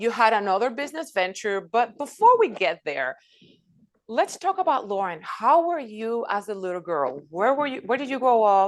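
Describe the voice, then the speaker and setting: A woman with a Spanish accent speaks at a moderate pace and a fairly high pitch. Her pitch swings very widely, and the background is quiet. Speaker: podcast host. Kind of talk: interview.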